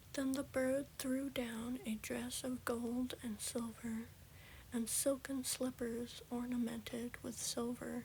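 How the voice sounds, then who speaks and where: Someone soft-spoken talks at a very slow pace. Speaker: ASMR creator. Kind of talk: fairy tale reading.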